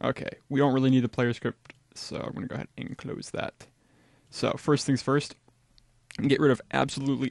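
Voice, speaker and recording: Monotone, flat delivery at a moderate pace against a quiet background. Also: man, dry sound with no echo. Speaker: game development tutor. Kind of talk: tutorial. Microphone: studio mic.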